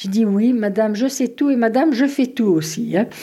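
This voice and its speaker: A woman's somewhat breathy voice, dark and mellow, with lively intonation and a moderate pace. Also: very clean recording, silent background. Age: 70s. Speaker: grandmother. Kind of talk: casual chat.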